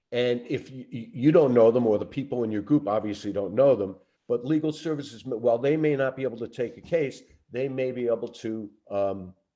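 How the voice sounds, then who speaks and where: A man with a Brooklyn accent, medium pitch, dark and mellow tone, ordinary pitch variation and a fairly quick pace. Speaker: lawyer. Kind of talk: Q&A answer on a training call.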